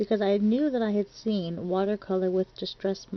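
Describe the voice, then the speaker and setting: A woman's medium-pitched voice moves along at a moderate speed. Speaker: crafting tutorial creator. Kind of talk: tutorial. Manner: chatty.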